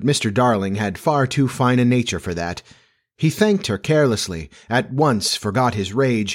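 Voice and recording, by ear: Reading aloud in a natural voice, the speaker is heard over a quiet background.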